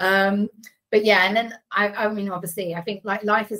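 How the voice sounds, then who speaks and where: Fairly quick delivery from a woman. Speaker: digital PR team leader. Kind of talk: casual interview chat. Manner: loud.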